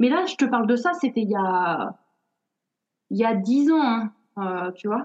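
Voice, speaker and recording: A woman's fairly high voice at a very slow pace, with very wide pitch swings and long, frequent pauses. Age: 40s. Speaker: author and content creator on budgeting. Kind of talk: interview. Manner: animated; halting, repeats words.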